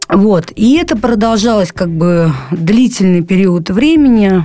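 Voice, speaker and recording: A woman at medium pitch, very slow pace and lively intonation, with noticeable background noise. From Saint Petersburg, Russia (moved from Krasnoyarsk at 13). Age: 20s. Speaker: recovering drug addict. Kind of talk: testimony. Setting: studio. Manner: halting, many fillers.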